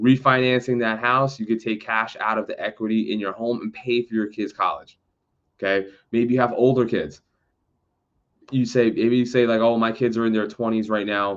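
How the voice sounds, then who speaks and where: A man's medium-pitched voice with monotone, flat intonation. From New York City, the Bronx. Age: 30s. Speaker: real estate agent. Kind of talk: educational talk to camera. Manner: fast; casual, halting with fillers.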